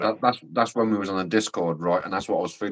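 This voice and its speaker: Delivered at a very fast pace, the speech has fairly even intonation and a dry, close sound with no echo. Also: man. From Scotland. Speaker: livestream guest. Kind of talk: casual chat.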